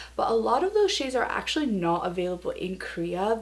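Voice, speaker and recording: Audible room echo follows a woman who speaks at a fairly quick pace. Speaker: beauty vlogger. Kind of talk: casual product review vlog. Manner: chatty, with fillers.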